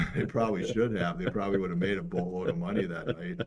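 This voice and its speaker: A man talks at a fairly quick pace in a plain, everyday voice, pitched fairly low, with ordinary pitch variation. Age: 60s. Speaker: sports show co-host and photographer. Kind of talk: casual chat.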